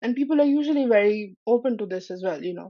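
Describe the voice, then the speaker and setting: A woman speaks at a fairly high pitch with lively intonation. Her pace is moderate. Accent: non-native. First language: not English. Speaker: Salesforce app partner professional. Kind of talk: podcast interview.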